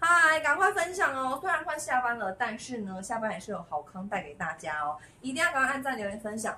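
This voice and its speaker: Over light background noise, a woman with a high voice talks at a fairly quick pace with hardly any pauses, her pitch swinging very widely. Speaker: online clothing seller. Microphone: phone near.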